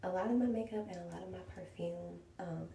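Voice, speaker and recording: A woman talks amid noticeable background noise, and the room's echo is clearly audible. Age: 20s. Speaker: beauty vlogger. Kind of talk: tutorial. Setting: at home in bedroom. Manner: soft-spoken.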